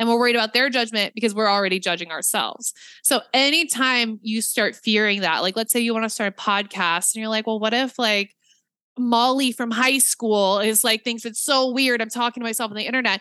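A woman's bright, sharp tone at fairly high pitch, fairly quick pace and fairly even intonation, in dry, close sound with no echo. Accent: American. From Nebraska, US Midwest. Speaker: podcaster and business coach. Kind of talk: casual interview chat.

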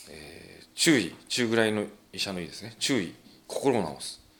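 A man's bright, sharp tone at a fairly low pitch, with lively intonation, a fairly slow pace and audible room echo. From Japan, Ibaraki (Tsuchiura). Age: 40s. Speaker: professional wrestler and dentist. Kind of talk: casual interview chat.

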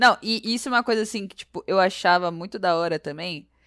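The tone is bright and sharp, with ordinary pitch variation. It's a very clean recording with a silent background. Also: woman, dry, close sound with no echo. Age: 20s. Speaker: small business owner. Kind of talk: casual chat. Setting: at home.

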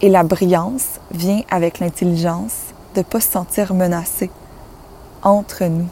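Speaking at a fairly slow pace, a woman leaves long, frequent pauses. Her voice is fairly low with ordinary pitch variation, and noticeable background noise is present. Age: 20s. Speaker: spiritual life coach, podcast host. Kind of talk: solo inspirational monologue.

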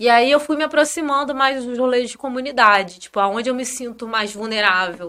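High-pitched woman's voice in an interior Rio de Janeiro accent, bright and sharp in tone, with ordinary pitch variation at a moderate pace. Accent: noticeable interior Rio de Janeiro. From northern Rio de Janeiro state (Campos). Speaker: engineer and content creator. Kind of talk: casual chat.

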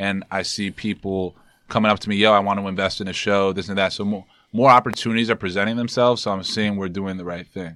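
A man with a New York accent, fairly low in pitch, with a bright, sharp tone, monotone, flat intonation and a very fast pace, on a very clean recording with a silent background. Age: 20s. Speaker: entrepreneur and brand founder. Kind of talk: casual chat.

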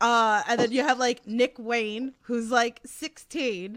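Speaking at a very slow pace, a woman with a strong Queens accent has a high pitch. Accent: thick New York (Queens). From Queens, New York. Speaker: wrestling podcast host. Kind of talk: casual interview chat. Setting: online livestream with chat.

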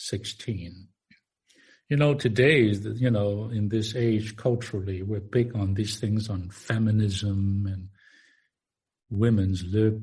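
At a very slow pace, a man speaks with fairly even intonation. His fairly low voice is somewhat breathy. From Far East. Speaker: minister. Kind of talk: sermon. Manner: halting.

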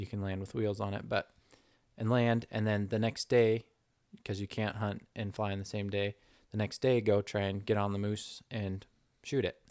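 A man with a normal speaking voice talks at a moderate pace with fairly low pitch and fairly even intonation, recorded very cleanly against a silent background with a dry, close sound and no echo. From North Idaho, US. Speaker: pilot and hunting and fishing guide. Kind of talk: casual chat.

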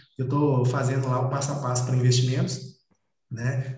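Audible room echo surrounds this man's voice. He speaks at medium pitch and a moderate pace. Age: 30s. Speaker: investor and finance content creator. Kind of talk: casual interview.

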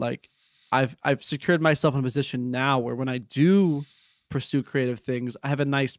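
A man talks at a moderate pace at a medium pitch, with fairly even intonation, in an unremarkable speaking voice. The sound is dry and close with no echo. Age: 20s. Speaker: video editor and technical consultant. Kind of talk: casual chat.

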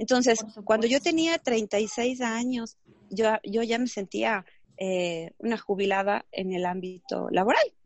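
With ordinary pitch variation, a woman talks very slowly. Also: fairly high pitch for a woman. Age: 30s. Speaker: entrepreneur and network marketer. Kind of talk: interview. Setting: video call. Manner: animated.

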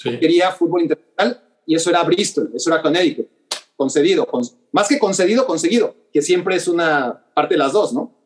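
Fairly quick and lively in intonation, a man with a Mexican accent speaks at a high pitch. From Mexico City. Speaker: sports journalist. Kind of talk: interview. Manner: halting, repeats words.

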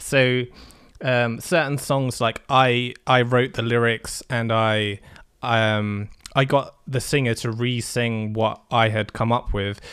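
Speaking very slowly with an English accent, a man keeps his intonation fairly even. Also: medium pitch for a man. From England. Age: 20s. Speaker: music producer. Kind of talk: casual chat. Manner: halting, many fillers.

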